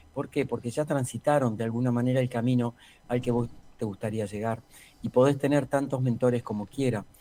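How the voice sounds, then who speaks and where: A man's fairly quick delivery, medium in pitch, with a dark, mellow tone and fairly even intonation. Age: 60s. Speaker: executive coach. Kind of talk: interview.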